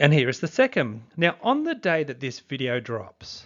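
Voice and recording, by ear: With a fairly bright tone, a man talks at a fairly slow pace, his pitch making big swings.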